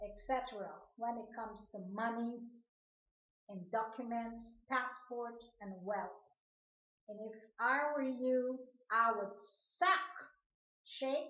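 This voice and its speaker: A woman with a fairly high pitch and ordinary pitch variation speaks at a very slow pace with long, frequent pauses. Her loudness swings widely, and the room echo is audible. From Guyana, Georgetown. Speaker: video blogger. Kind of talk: personal monologue rant to camera.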